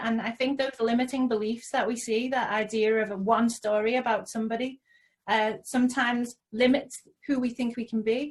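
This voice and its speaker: A woman with a Liverpool accent speaks at a fairly quick pace in a fairly high pitch with fairly even intonation. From Liverpool, England (Toxteth). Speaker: social entrepreneur. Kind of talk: interview.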